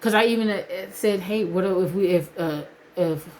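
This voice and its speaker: A woman speaks at a fairly slow pace in an ordinary speaking voice, her intonation fairly even. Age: 40s. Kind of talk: casual vlog talk to camera.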